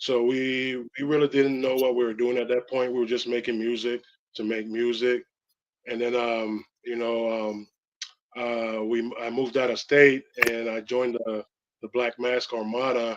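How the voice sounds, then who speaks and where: With a slight Belizean accent, a man speaks in a monotone, flat intonation. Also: medium pitch for a man, moderate pace. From Belize, Belize City. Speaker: rapper. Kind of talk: interview. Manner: halting, many fillers.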